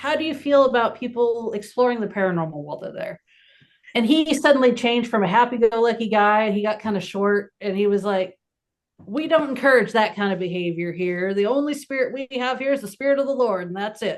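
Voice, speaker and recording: A woman's plain, everyday voice, fairly high in pitch, at a fairly quick pace with ordinary pitch variation. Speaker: paranormal investigator. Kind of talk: casual chat.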